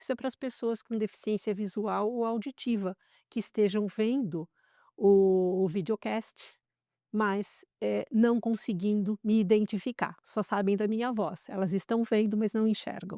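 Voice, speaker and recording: A woman talks at a fairly slow pace in a fairly high pitch with a dark, mellow tone and fairly even intonation. The recording is very clean, with a silent background and a dry, close sound with no echo. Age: 60s. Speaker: entrepreneur, former tech executive. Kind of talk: interview podcast.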